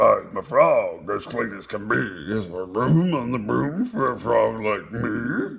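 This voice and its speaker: Using a put-on character voice, a man speaks fairly slowly at a medium pitch with a croaky sound. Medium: read story.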